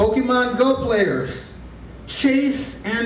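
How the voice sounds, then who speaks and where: A man at a very slow pace amid noticeable background noise. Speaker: stand-up comedian. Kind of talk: stand-up comedy set.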